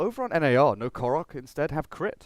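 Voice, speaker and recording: Recorded dry and close with no echo and a silent background, a man with a British accent speaks at a fairly high pitch. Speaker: esports commentator. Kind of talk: live commentary. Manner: animated.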